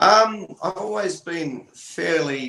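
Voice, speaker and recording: In an Australian accent, a man talks with very wide pitch swings. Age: 40s. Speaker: sound healer and musician. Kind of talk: interview.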